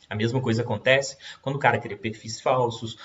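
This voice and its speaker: Very fast and monotone, a man's speech comes out flat. His voice is somewhat breathy. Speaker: law professor. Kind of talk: lecture.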